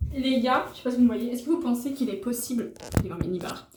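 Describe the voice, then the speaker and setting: Noticeable background noise accompanies a woman's high-pitched voice. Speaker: travel vlogger. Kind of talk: casual vlog talk to camera. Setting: eating at a restaurant while filming. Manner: fast; chatty, animated.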